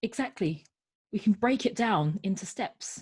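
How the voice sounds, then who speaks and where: A woman's voice comes through somewhat breathy at a medium pitch. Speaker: transformational coach. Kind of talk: interview answer. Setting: lives in London, UK.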